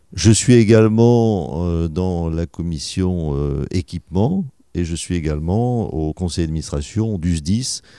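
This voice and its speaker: Dark, mellow tone from a man with a very deep, low pitch and ordinary pitch variation, at a very slow pace, in a very clean recording with a silent background. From southwest France, Médoc and Bordeaux. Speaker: mayor and dentist. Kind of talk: radio interview. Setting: town hall office.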